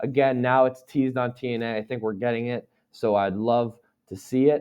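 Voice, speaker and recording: A man at medium pitch. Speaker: wrestling podcast host. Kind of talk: casual podcast recap.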